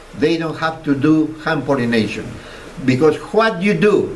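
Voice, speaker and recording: Lively intonation carries a man's moderately paced speech through noticeable background noise. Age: 80s+. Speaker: dragon fruit grower. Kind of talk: public talk to an audience. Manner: charismatic.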